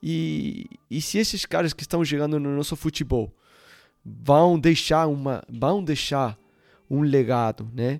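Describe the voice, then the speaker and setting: A normal speaking voice from a man, fairly high-pitched with lively intonation, at a fairly slow pace, in a very clean recording with a silent background. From Uruguay. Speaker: football coach. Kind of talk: casual chat.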